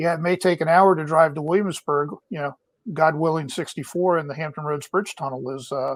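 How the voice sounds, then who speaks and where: An ordinary speaking voice from a man, fairly high in pitch, with fairly even intonation and a fairly quick pace. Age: 60s. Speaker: small business advisor, navy veteran. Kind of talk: casual chat. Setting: video call from home.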